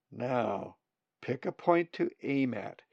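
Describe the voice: Plain reading aloud with ordinary pitch variation over a quiet background.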